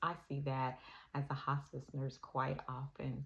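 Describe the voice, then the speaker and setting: This woman's pitch is very deep and low. Her voice comes out somewhat breathy. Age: 60s. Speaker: hospice nurse. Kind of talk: casual talk to camera.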